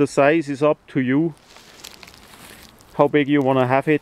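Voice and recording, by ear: This man's voice has a slightly mellow, clear and smooth tone, recorded with a dry, close sound and no echo.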